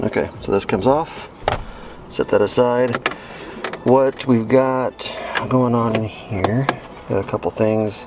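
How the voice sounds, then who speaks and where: With noticeable background noise behind him, a man of medium pitch speaks with fairly even intonation and long, frequent pauses. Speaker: DIY car repair youtuber. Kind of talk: tutorial. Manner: fast; casual, with many fillers.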